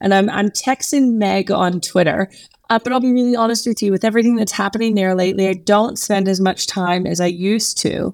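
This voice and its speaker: In an American accent, a woman talks at a fairly high pitch with ordinary pitch variation, and the sound is dry and close with no echo. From Texas. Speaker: marketing agency owner. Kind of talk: interview.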